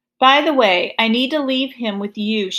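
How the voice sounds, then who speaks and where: A woman uses a put-on character voice at a high pitch. She keeps a moderate pace. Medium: read story.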